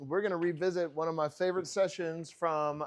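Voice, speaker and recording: A man speaks loudly at a moderate pace. His pitch is high. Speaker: ministry training teacher. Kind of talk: classroom lecture. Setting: classroom with live audience, no microphone.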